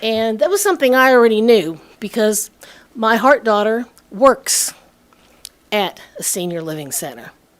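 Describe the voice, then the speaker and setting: A woman speaks at a moderate pace with a fairly high pitch, her intonation lively. Her loudness swings widely, and she leaves long, frequent pauses. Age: 60s. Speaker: resident speaking at public comment. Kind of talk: public comment at town meeting. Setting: town council meeting.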